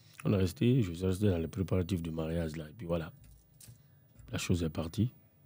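Speaking at a fairly quick pace, a man has a very deep, low pitch and ordinary pitch variation. His tone is dark and mellow. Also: long, frequent pauses, big swings in loudness. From Guinea, Conakry. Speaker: rapper; guest. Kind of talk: casual chat. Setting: studio. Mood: reflective, personal storytelling. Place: studio. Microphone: studio mic.

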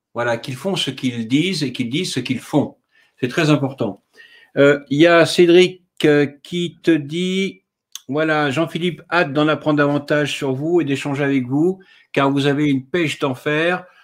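A man with an ordinary speaking voice talks at a fairly high pitch and a fairly slow pace, using ordinary pitch variation. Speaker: live video host. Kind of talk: live-streamed interview. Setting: online video livestream. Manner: chatty, a bit flustered by tech problems.

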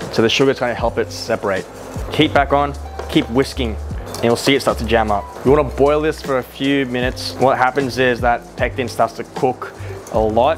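Clear music plays behind a man speaking at a fairly quick pace. His tone is upbeat and his intonation lively. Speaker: chef. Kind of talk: casual cooking tutorial talk to camera. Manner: casual, upbeat. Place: kitchen. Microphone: lapel.

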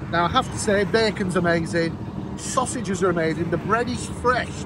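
Over noticeable background noise, a man talks at a fairly quick pace with ordinary pitch variation, the sound dry with no echo. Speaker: cafe reviewer. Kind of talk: casual vlog chat. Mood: cheerful, joking. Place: street. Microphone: lapel.

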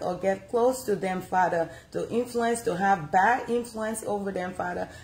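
The woman's voice is somewhat breathy. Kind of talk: prayer. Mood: fervent earnest prayer. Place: home room. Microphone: phone near.

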